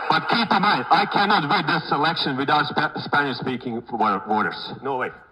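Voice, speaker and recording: Against noticeable background noise, a man talks at a moderate pace in a fairly high pitch with very wide pitch swings. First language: not English. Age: 50s. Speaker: real estate broker. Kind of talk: keynote speech.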